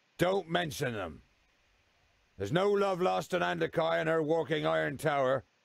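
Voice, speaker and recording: A man puts on a gruff character voice at a fairly high pitch. He talks at a moderate pace, leaving long, frequent pauses. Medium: video game. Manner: gruff, blunt, stutters.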